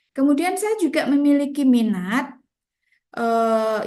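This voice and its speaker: A woman speaking at a fairly slow pace. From Central Java, Indonesia (Grobogan). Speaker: teacher. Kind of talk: lecture. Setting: video call.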